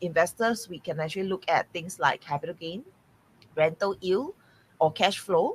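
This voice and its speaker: The speaker is a woman. There is a somewhat breathy quality to her voice. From Singapore. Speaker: real estate mentor. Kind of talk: podcast interview. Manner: hesitant, many fillers.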